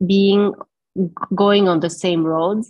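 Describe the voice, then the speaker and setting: Her pitch is medium. The speaker is a woman. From Germany, moved to Lebanon at 15. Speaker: entrepreneur and social media influencer. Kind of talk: interview.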